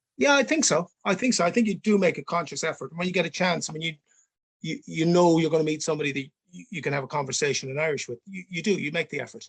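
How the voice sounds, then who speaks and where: A man talks at a very fast pace in a high pitch with lively intonation, the sound dry and close with no echo. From Ireland, Connemara Gaeltacht. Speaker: podcast co-host. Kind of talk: casual chat.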